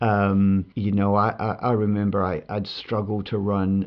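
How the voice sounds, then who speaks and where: A man's fairly low, monotone voice with flat intonation at a fairly slow pace. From England (Bradford, Yorkshire). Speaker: retired marathon runner and coach. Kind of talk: interview. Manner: halting, many fillers and repeats.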